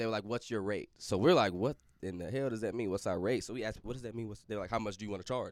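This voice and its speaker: The recording is very clean, with a silent background. A man talks with fairly even intonation. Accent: St. Louis. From St. Louis, Missouri. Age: 20s. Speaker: recording music artist. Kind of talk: casual chat.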